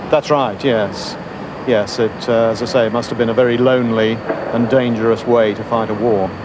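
A man at medium pitch and moderate pace, fairly even in intonation, with clear background noise.

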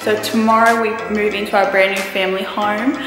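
Over clear background music and audible room echo, a woman talks at a fairly quick pace. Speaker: home vlogger. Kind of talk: casual vlog chat. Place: home room. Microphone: phone near.

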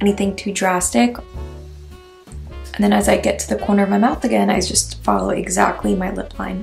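At a moderate pace, a woman talks over faint music in the background. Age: 20s. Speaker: beauty vlogger. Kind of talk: tutorial. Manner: casual. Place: home room.

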